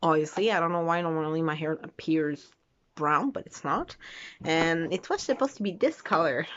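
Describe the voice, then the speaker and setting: The speaker has a Quebec accent. The intonation is lively. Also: woman, moderate pace. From Quebec, Canada. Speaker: vlogger. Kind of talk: casual vlog monologue. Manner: halting, many fillers.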